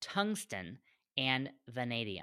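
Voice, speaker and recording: In a very clean recording with a silent background, a woman talks with a very deep, low pitch and a bright, sharp tone. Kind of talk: angry rant, indignant anti-vaccine monologue. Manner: fiery, indignant, emphatic, repeating words for stress, stammering with outrage.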